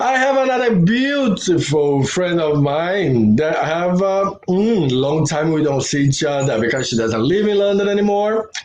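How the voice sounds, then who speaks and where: A man with a Brazilian accent talks at a moderate pace with hardly any pauses and very even loudness. His high pitch swings very widely, over noticeable background noise. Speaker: former dancer and live stream host. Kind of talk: casual live stream interview. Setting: live stream.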